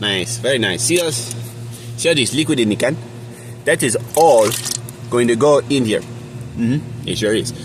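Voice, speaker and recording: Over noticeable background noise, a man at a medium pitch talks with ordinary pitch variation and long, frequent pauses. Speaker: home cooking vlogger. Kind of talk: casual cooking tutorial. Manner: fast; casual, joking.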